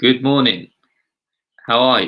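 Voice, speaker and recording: A man speaks with an Essex accent. His pitch sits in the medium range. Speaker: pastor. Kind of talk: casual greeting to online congregation.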